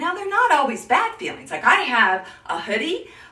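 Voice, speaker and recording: A woman's raised, projected voice, animated in tone, with very wide pitch swings, a moderate pace and audible room echo. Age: 60s. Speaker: image consultant. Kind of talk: live stream tutorial.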